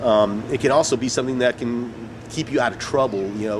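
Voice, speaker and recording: A man's fairly even intonation comes through over noticeable background noise. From Mexican-American community, US Southwest. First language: Spanish. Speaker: actor and poet. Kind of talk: interview. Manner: halting, many fillers and repeats.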